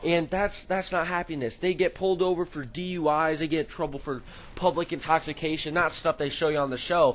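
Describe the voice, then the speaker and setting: Loud and high-pitched, a man talks at a fairly quick pace with fairly even intonation. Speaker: gaming YouTuber. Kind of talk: casual commentary over gameplay. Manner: halting.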